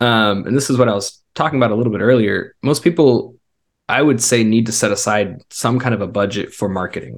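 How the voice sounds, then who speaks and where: A man talks at a fairly quick pace in a normal speaking voice. His medium pitch shows ordinary pitch variation. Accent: American. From US South and Israel. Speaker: web designer and former missionary. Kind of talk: interview.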